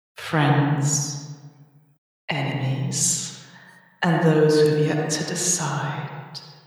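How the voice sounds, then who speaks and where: A woman in a put-on character voice speaks at a very deep, low pitch, raspy and monotone with flat intonation. Her pace is very slow with long, frequent pauses, and there is strong echo. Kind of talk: silky diplomatic speech. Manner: sly, smiling, falsely friendly.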